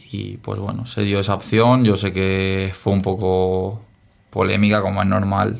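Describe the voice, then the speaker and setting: This man's pitch sits fairly low. He speaks at a fairly slow pace. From Spain, Dénia (Valencian Community). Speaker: professional footballer. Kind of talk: interview.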